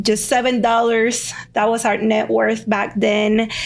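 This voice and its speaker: A woman with a Spanish accent, fairly high pitch, monotone and flat intonation, a fairly slow pace and audible room echo. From Cuba (Havana), moved to US at 14. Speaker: lawyer. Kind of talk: podcast interview.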